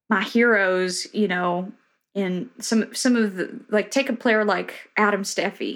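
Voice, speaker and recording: A woman with a Tennessee accent, medium pitch and fairly even intonation, on a very clean recording with a silent background. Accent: Southern US (Tennessee). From rural Tennessee. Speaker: bluegrass musician. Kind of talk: casual interview chat.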